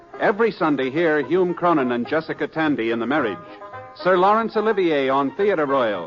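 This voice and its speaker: Music plays in the background as a man with a fairly high pitch speaks at a moderate pace with lively intonation. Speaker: radio announcer. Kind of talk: network radio promo.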